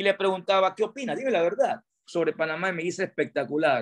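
A moderately paced male voice over a quiet background. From Panama, Pedasí (Los Santos); Panama. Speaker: tourism industry chamber president. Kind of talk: radio interview. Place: home room. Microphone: video call.

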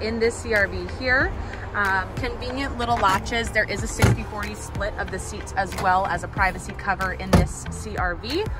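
A woman speaks at a fairly slow pace. The sound is dry with no echo, and loud music plays in the background. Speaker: car salesperson. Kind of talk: product walkaround presentation. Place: car. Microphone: phone near.

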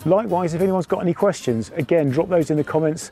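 A man at a fairly quick pace with ordinary pitch variation, dry sound with no echo, and faint music in the background. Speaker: DIY hobbyist vlogger. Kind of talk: casual vlog chat. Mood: relaxed, pleased. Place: street.

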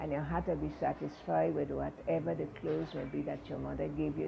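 A woman speaks in a very deep, low voice. There is noticeable background noise. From U.S. Virgin Islands. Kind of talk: oral history interview answer. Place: home room.

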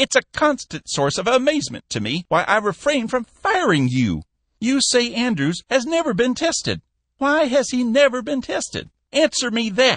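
In a put-on character voice, the speaker talks at a moderate pace with a fairly high pitch. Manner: stern, angry, berating.

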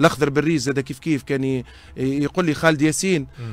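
A man is speaking. His pace is fairly quick. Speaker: sports broadcaster. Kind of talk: interview.

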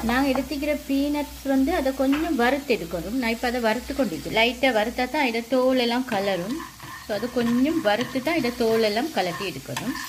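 Her pitch fairly high, a woman speaks at a fairly quick pace with lively intonation and audible room echo.

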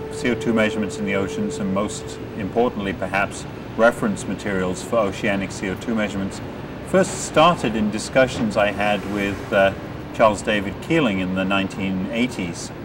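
A man speaks at a moderate pace, his pitch varying in an ordinary way, with noticeable noise in the background. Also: fairly low pitch for a man. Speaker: interviewee. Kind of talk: interview answer. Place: open country.

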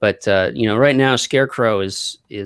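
An ordinary speaking voice, dry with no echo, talks at a fairly quick pace with ordinary pitch variation against a quiet background. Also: man. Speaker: comic book creator. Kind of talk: casual chat. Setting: video call. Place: home room.

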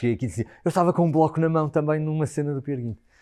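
A man speaks with a European Portuguese accent and a dark, mellow tone. His pitch variation is ordinary, over a quiet background. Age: 40s. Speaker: stage actor. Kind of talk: interview. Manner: halting, many repetitions and fillers. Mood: thoughtful, reflective. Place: home room. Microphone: lapel.

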